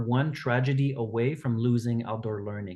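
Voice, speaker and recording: A man with a Quebec accent, ordinary pitch variation and a moderate pace against a quiet background. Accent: Québécois French-accented English. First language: French. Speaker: outdoor education organization director. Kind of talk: podcast interview.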